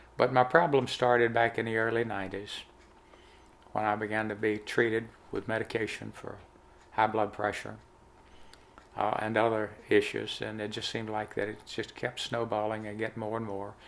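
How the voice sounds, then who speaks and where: Flat, monotone speech from a man with a fairly low voice and a Southern US accent, moderate in pace, broken by long, frequent pauses. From US South. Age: 70s. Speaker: health testimony vlogger. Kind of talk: testimony.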